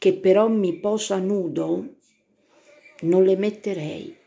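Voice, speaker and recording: A woman speaking at a very slow pace. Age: 60s. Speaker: self-described psychic and vlogger. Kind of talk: casual monologue to camera. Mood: indignant, gossipy commentary. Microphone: phone near.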